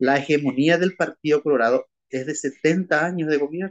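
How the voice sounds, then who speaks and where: In a plain, everyday voice, a man with fairly high pitch speaks at a moderate pace with ordinary pitch variation, the sound dry and close with no echo. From Paraguay, Asunción. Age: 60s. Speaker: lawyer and former teacher and priest. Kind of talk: interview.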